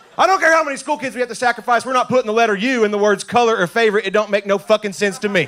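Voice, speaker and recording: Very fast speech from a man with a high pitch and ordinary pitch variation, against noticeable background noise. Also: hardly any pauses. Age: 20s. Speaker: stand-up comedian. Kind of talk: stand-up.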